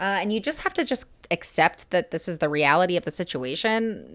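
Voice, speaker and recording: A woman with a medium-pitched voice talks at a fairly quick pace in an animated tone, on a very clean recording with a silent background. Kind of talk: reaction video commentary. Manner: fast.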